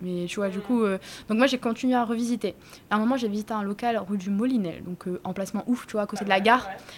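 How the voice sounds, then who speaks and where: Somewhat breathy and fairly high in pitch, a woman talks at a fairly quick pace with fairly even intonation. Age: 20s. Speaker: restaurant owner. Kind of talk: casual chat. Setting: in her restaurant. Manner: casual, hesitant with fillers.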